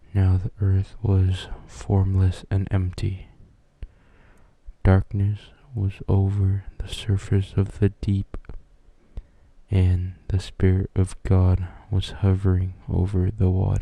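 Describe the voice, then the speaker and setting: Soft-spoken and somewhat breathy, a man talks at a very slow pace in a dark, mellow tone, his intonation monotone and flat, with long, frequent pauses. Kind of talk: ASMR Bible reading.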